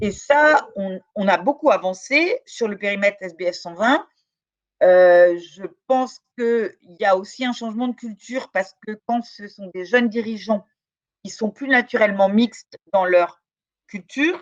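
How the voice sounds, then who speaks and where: In a dry, close sound with no echo, a woman speaks at a fairly slow pace with a fairly high pitch, lively intonation and big swings in loudness. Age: 60s. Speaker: law professor and researcher. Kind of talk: interview. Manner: hesitant, many fillers.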